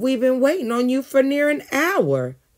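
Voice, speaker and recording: Adopting a put-on character voice, a man pushes his pitch extremely high. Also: moderate pace. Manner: hissed, angry and resentful.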